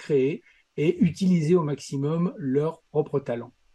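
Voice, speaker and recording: Against a quiet background, a man with a fairly high, somewhat breathy voice speaks in a dark, mellow tone with ordinary pitch variation. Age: 60s. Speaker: leadership coach and consultant. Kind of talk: podcast interview. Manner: animated.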